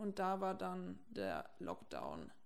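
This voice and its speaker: There is audible room echo. A woman is the one talking. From Franconia, Germany (near Erlangen). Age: 20s. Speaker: techno club owner and podcast host. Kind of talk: casual chat. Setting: in her kitchen at home.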